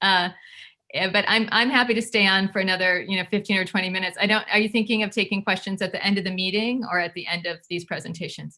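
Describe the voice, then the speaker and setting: At a very fast pace, a woman speaks in a bright, sharp tone at a medium pitch with fairly even intonation. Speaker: education advocacy group board member. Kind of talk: presentation at online community meeting.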